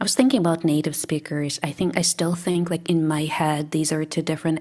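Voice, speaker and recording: Speaking at a moderate pace, a woman with a Russian accent uses a fairly low voice. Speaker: English teacher. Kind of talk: casual chat.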